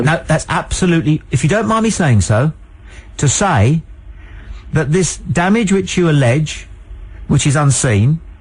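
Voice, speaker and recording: A man with a British accent talks at a moderate pace and a fairly high pitch, using lively intonation, very even loudness, and long, frequent pauses. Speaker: radio phone-in show host. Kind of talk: radio phone-in banter, debate with caller. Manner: emphatic, talks over the caller, pompous.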